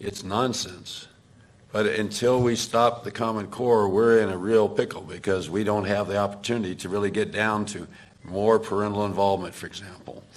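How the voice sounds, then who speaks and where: Flat and monotone, the speech moves at a moderate pace, with audible room echo. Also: man, fairly low pitch for a man. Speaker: education speaker at a town hall. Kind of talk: town hall Q&A answer.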